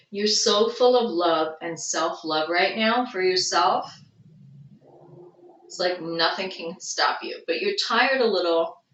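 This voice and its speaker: A woman speaks at a fairly slow pace in a Long Island accent, her voice at a medium pitch with ordinary pitch variation. Her loudness swings widely, and the room adds audible echo. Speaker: tarot reader. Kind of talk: tarot reading.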